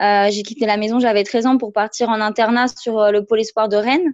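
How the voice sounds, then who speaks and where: A woman talks at a moderate pace in an ordinary speaking voice. Her pitch sits fairly high, and her intonation stays fairly even. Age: 20s. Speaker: former elite judoka and coach. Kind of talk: interview.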